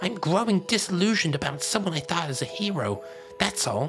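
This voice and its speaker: Clear music plays behind a put-on character voice at middle pitch that moves at a fairly quick pace. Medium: solo performance. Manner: chummy, then sneering.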